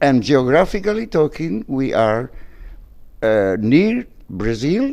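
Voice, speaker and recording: A man at a fairly high pitch, with very wide pitch swings and a very slow pace. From Paraguay. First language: Spanish. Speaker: musician. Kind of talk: TV interview. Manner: halting, non-native English.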